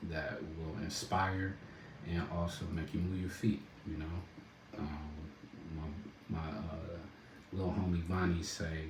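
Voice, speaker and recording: Speaking at a very slow pace, a man with a very deep, low voice keeps a relaxed tone and fairly even intonation, with noticeable background noise and audible room echo. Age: adult, a dad. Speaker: rapper and entrepreneur. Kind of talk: casual livestream talk. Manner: relaxed, laid-back.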